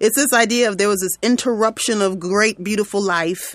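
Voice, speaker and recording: The speech has an American accent. Music sounds in the background. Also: woman. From central New York. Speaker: podcast co-host. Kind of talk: casual chat.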